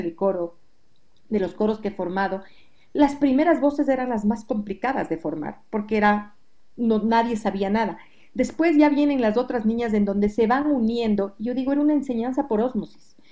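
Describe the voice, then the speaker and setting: A woman speaks at a fairly quick pace in a fairly high pitch, her tone dark and mellow, with ordinary pitch variation. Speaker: music educator and singing teacher. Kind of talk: interview.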